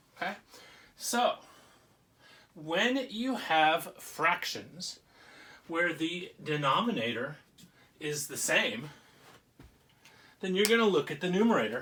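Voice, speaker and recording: Against noticeable background noise, a man with a high pitch speaks at a very slow pace, with very wide pitch swings and long, frequent pauses. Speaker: teacher. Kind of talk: lesson for children. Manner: casual, conversational.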